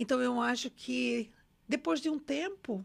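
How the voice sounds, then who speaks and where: A woman talks with lively intonation. Vocal fry colors her voice. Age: 60s. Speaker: numerologist and former bank director. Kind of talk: interview. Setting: studio.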